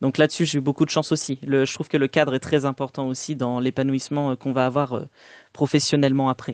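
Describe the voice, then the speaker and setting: This man speaks very fast in a flat monotone, his pitch fairly high, against a quiet background with a dry, close sound and no echo. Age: 20s. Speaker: author and playwright, theatre director. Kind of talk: podcast interview. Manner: hesitant, many fillers.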